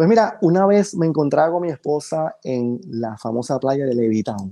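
A man speaks at a moderate pace with very wide swings in pitch. The background is quiet. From Panama. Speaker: photographer; podcast guest. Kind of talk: podcast interview. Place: home room. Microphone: video call.

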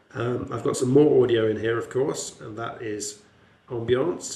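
A man of medium pitch talks at a moderate pace, with noticeable background noise and audible room echo. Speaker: lecturer. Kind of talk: tutorial.

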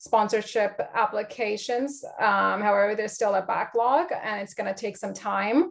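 Speaking at a fairly slow pace, a woman with a medium pitch shows vocal fry.

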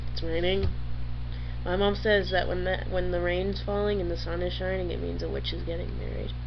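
There is noticeable background noise. The speaker has an American accent. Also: woman. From New England, US. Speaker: YouTuber. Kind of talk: casual vlog. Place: home room. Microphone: webcam.

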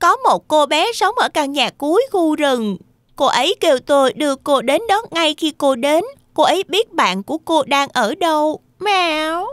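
A cartoonish character voice is performed. Its pitch is high. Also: moderate pace.

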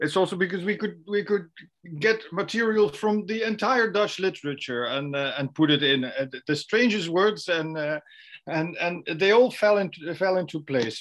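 Against a quiet background, a man speaks at a high pitch. His pace is moderate and his intonation lively. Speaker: literary translator, audience member. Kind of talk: audience comment in Q&A. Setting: video call. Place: home room. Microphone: video call.

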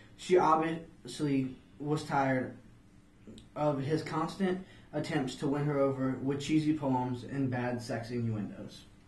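A man speaks at a fairly slow pace with fairly even intonation. The room echo is audible. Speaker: student playing a flea in a mock interview. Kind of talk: interview answer. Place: office.

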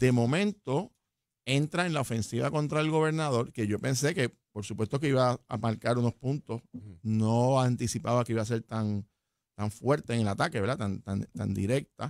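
Recorded dry with no echo and a quiet background, a man talks at a moderate pace. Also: ordinary pitch variation. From Puerto Rico. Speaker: political analyst. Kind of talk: political analysis chat. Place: studio. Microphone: studio mic.

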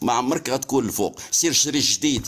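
This man talks at a moderate pace. His pitch is fairly high, with ordinary variation. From Morocco. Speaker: TikTok live participant. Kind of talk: heated debate. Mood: mocking, sarcastic. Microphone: phone near.

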